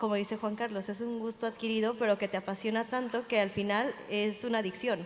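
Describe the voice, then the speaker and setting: A woman talks at a fairly quick pace and fairly high pitch. Her intonation is monotone and flat. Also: hardly any pauses. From Mexico. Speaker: sommelier. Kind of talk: panel talk.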